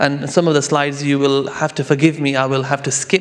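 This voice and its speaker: A man speaks at a fairly quick pace with a fairly high pitch. His intonation is monotone and flat, with noticeable background noise. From London, England. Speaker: Islamic finance lawyer and judge. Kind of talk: conference presentation. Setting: conference hall in Istanbul. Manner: hesitant, many fillers.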